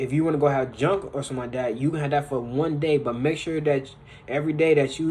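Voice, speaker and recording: Fairly quick and somewhat breathy, a man speaks at a fairly high pitch with fairly even intonation. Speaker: motivational vlogger. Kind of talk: casual motivational monologue.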